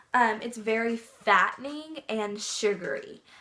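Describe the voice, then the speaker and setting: A woman speaks over noticeable background noise. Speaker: pet vlogger. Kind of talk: casual tutorial. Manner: hesitant, many fillers; soft-spoken.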